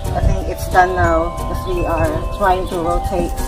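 A woman at a fairly slow pace, with clear music in the background. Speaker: home gardener vlogger. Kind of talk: casual vlog chat. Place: garden. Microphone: camera far.

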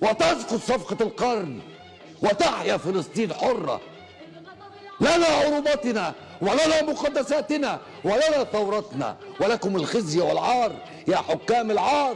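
Shouting at a very slow pace, a man with an Egyptian accent reaches an extremely high pitch with very wide pitch swings. Faint music plays in the background. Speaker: TV host. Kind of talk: TV monologue. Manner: impassioned, shouting. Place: studio. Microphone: lapel.

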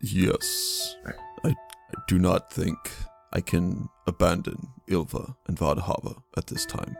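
Faint music plays in the background. A man talks at a fairly slow pace with a fairly low pitch. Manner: formal, earnest, clipped.

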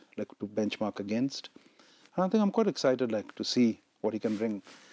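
Very fast speech from a man comes through in a dry sound with no echo. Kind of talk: interview answer. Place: studio. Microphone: lapel.

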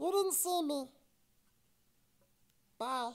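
This is a cartoonish character voice. It sits at a high pitch. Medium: puppet show. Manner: excitable, scatterbrained.

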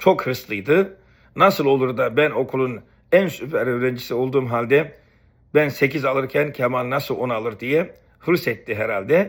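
A man with an unremarkable speaking voice talks at a fairly slow pace, with medium pitch and ordinary pitch variation. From Istanbul, Turkey (Beykoz), family from Rize. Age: 50s. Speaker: YouTuber, former student. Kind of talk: personal storytelling monologue.

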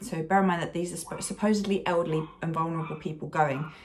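The speaker goes at a very fast pace. Pitch varies in an ordinary way. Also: woman. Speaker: vlogger. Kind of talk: casual vlog chat. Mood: frustrated, recounting stressful trip. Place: home room. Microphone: phone near.

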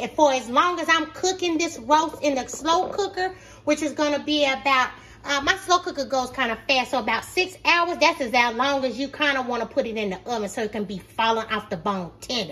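Raised and projected, a woman's voice carries a bright, sharp tone. She talks at a fairly quick pace. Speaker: home cook vlogger. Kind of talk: casual cooking tutorial. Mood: warm, playful. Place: kitchen. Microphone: phone near.

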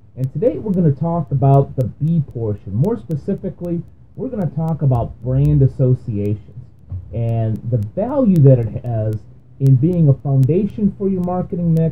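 A man speaks at a moderate pace in a somewhat breathy voice. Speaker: business podcast host. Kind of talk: explainer monologue. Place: home room. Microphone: webcam.

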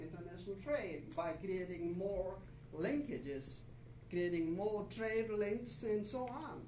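Fairly slowly, a man speaks in a high pitch, with audible room echo and light background noise. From Pakistan. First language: Urdu. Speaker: visiting professor. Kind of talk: lecture. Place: classroom. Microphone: camera far.

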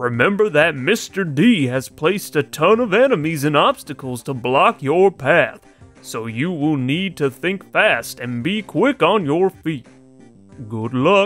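A man's put-on character voice, fairly high in pitch and fairly slow, with faint music in the background. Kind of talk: reading game dialogue aloud in character. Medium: game stream. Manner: earnest, solemn. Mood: cautioning.

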